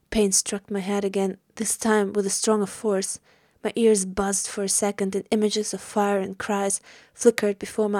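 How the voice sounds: This is a natural reading voice. The passage is read through in it.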